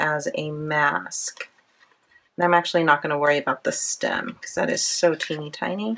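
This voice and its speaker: A woman's lively intonation at a fairly slow pace. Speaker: planner crafting youtuber. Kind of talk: craft tutorial. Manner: casual.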